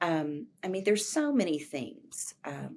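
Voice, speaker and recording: Fairly low in pitch, the woman has a plain, everyday voice. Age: 60s. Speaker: professor of teacher education. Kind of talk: interview conversation.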